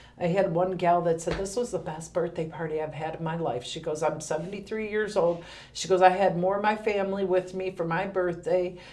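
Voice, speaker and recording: A woman speaks at a fairly quick pace with hardly any pauses, her fairly low voice keeping a fairly even intonation over noticeable background noise and audible room echo. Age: 50s. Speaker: senior center director. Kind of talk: podcast interview.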